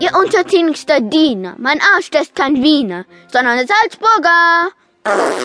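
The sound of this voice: The voice is raised and projected, with very wide pitch swings. It moves at a very slow pace. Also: woman, high pitch for a woman.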